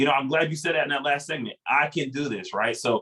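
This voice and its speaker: Very fast speech with a bright, sharp tone. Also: man. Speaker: financial coach. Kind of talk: workshop presentation. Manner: animated.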